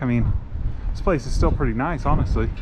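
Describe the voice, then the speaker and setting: A man with an American accent and lively intonation, amid audible room echo and noticeable background noise. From United States. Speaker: travel vlogger. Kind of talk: travel vlog narration. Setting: outdoors at a hilltop temple. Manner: casual, conversational.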